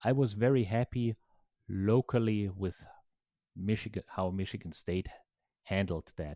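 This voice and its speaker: Dark, mellow tone in a German accent, fairly slow pace with long, frequent pauses, dry, close sound with no echo over a quiet background. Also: man, fairly low pitch for a man, ordinary pitch variation. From Germany. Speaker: professor. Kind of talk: interview.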